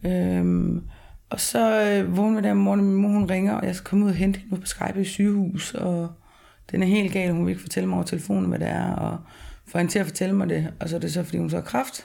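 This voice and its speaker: A woman speaks at a fairly quick pace. Room echo can be heard. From rural Denmark. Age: 30s. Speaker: interviewee, former heavy drinker. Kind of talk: personal testimony. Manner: halting.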